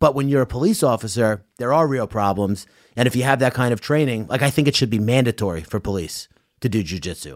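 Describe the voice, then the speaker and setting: In a New York accent, a man talks at a very fast pace with lively intonation on a very clean recording with a silent background. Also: medium pitch for a man. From Long Island, New York. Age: 30s. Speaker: podcast host. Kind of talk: casual chat.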